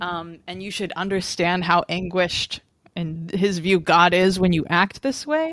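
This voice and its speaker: This is a plain, everyday voice from a woman at a medium pitch. She talks at a fairly slow pace with fairly even intonation. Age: 20s. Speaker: journalist and media manager. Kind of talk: casual chat.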